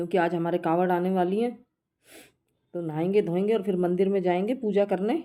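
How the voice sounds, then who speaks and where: Her intonation fairly even and her loudness very even, a woman speaks in a dark, mellow tone. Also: medium pitch for a woman, fairly slow pace. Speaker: village vlogger. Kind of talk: casual vlog narration. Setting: outdoors in village.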